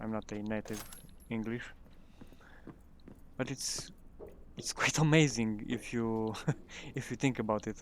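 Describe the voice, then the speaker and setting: A man with a non-native accent, fairly even intonation, and long, frequent pauses. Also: medium pitch for a man, fairly slow pace. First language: not English. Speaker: gaming youtuber. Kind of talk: gameplay commentary. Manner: halting.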